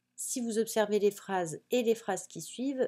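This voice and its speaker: The recording is very clean with a silent background. A woman speaks with a fairly high pitch and ordinary pitch variation. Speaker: teacher. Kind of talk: tutorial.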